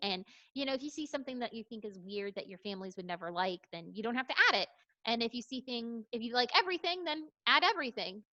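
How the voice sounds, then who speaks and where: A woman speaks in a plain, everyday voice with lively intonation, the sound dry and close with no echo. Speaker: platform representative presenting to a parent-teacher association. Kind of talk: online meeting presentation.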